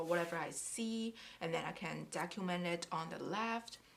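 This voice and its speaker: The speaker has a non-native accent and ordinary pitch variation. The pace is fairly slow. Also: woman. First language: not English. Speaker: craft YouTuber. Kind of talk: casual tutorial. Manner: halting.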